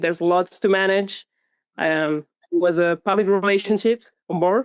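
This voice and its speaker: Against a quiet background, a woman with a Catalan accent speaks at a medium pitch and moderate pace with fairly even intonation, in a dry, close sound with no echo. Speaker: author and content creator. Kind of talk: casual interview chat.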